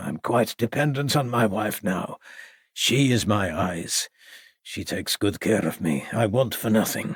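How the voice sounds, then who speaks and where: A man puts on a raspy character voice at a medium pitch, his intonation lively. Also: moderate pace. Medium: read story. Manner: courteous, formal.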